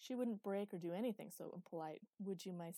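The pitch varies in an ordinary way during plain reading aloud. Behind it, the background stays quiet.

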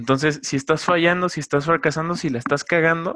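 Heard on a very clean recording with a silent background, a man speaks at a moderate pace. His tone is bright and sharp. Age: 20s. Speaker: podcast host. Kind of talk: solo podcast monologue. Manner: casual, many filler words.

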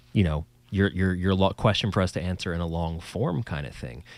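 This man speaks with a New Jersey accent. His very deep, low voice keeps a fairly even intonation. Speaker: podcast host and musician. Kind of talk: casual banter chat. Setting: video call, quarantine at home. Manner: joking, rambling, self-deprecating.

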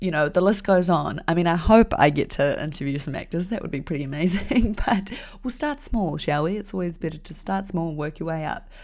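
With a New Zealand accent, a woman talks at a fairly quick pace and a fairly low pitch, her intonation lively and hardly any pauses between words. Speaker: podcast host and graphic designer. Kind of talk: solo podcast monologue. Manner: casual, lots of fillers.

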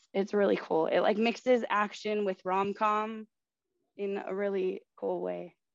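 A woman with an American accent has an unremarkable speaking voice at medium pitch. Her intonation is fairly even, and the sound is dry and close with no echo. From Southern California, San Bernardino. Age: 20s. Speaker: student show host. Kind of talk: casual chat.

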